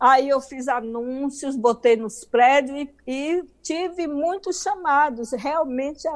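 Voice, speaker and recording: A woman speaks at a very slow pace in a high voice. Her pitch varies in an ordinary way. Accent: Bahian. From Bahia, Brazil. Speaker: author. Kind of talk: interview, life story. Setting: video call.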